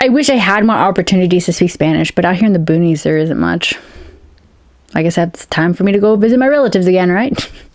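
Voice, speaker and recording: Words come at a very fast pace with lively intonation and very even loudness. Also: woman, medium pitch for a woman. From United States, Peruvian-American family. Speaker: science fiction and fantasy author. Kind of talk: casual talk to camera.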